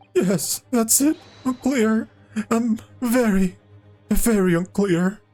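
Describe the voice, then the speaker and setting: A man performs a put-on character voice at a high pitch, going very slowly with long, frequent pauses. Music plays in the background. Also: ordinary pitch variation. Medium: game stream. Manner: stammering, hesitant.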